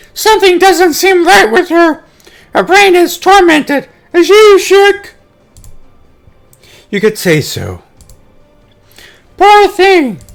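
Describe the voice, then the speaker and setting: An extremely high-pitched, put-on character voice speaks at a fairly slow pace with long, frequent pauses. Music plays behind it. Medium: read story. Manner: chatty, casual.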